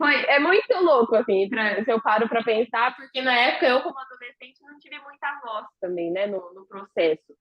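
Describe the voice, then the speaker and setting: A plain, everyday voice. The woman talks at a moderate pace with a fairly high pitch. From interior of São Paulo state, Brazil. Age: 20s. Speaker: interviewee, emigrant. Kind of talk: casual interview chat.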